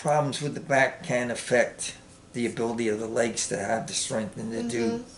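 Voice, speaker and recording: With audible room echo around him, a man talks at a moderate pace and a medium pitch, his pitch varying in an ordinary way. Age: 70s. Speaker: Marine veteran. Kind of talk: interview. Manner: hesitant, many fillers.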